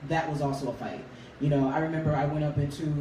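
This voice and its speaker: A man with a fairly high pitch speaks in monotone, flat intonation amid noticeable background noise and audible room echo. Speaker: R&B singer. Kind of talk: interview.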